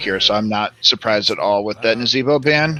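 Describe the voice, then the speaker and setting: A man at a medium pitch, with music in the background. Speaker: esports caster. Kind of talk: live commentary. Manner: loud.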